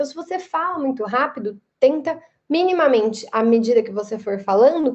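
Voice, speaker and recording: The woman's voice sits at a high pitch, with ordinary pitch variation and a moderate pace. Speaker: lecturer. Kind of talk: lecture. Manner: emphatic.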